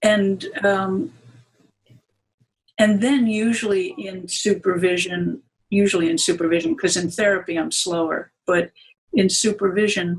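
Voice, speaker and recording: The speech comes at a fairly slow pace, broken by long, frequent pauses. The voice is somewhat breathy. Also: woman, medium pitch for a woman, ordinary pitch variation. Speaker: Gestalt therapist and psychoanalyst. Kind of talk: interview. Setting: conference.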